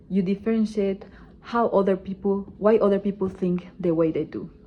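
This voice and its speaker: A woman speaks with a Spanish accent. Her voice is somewhat breathy. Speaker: student. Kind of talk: class presentation speech.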